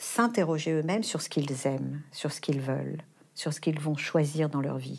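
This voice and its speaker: The pace is moderate. Behind the voice there is silence, in a very clean recording. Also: woman. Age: 60s. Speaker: philosophy teacher and foundation head. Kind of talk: interview.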